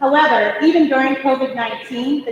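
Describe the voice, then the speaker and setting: A woman talks loudly at a fairly quick pace, her voice pitched high. Noticeable background noise and audible room echo surround her. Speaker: town manager. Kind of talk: formal report to council. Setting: council meeting with audience. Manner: formal.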